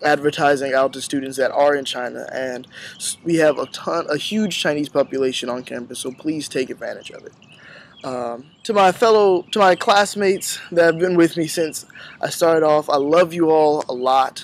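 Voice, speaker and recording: A man with an unremarkable speaking voice talks at a moderate pace and a fairly high pitch, with ordinary pitch variation and big swings in loudness. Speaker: university student. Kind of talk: farewell address to classmates.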